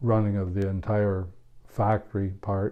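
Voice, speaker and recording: With an Ontario accent, a man of fairly low pitch speaks at a fairly slow pace in a monotone, flat intonation. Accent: Canadian English (Ontario). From Ontario, Canada (Omemee, Kawartha Lakes). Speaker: retired tradesman recounting his life. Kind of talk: oral history interview. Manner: hesitant, many fillers.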